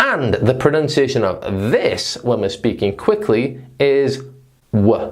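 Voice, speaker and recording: The speaker has a northern English accent. The pace is very slow. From northern England. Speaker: English teacher. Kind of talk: lesson.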